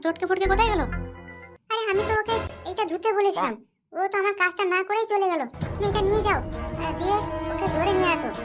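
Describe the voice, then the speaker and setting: A cartoonish character voice, female-sounding and extremely high-pitched, at a fairly quick pace with faint music in the background. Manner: scolding, crude.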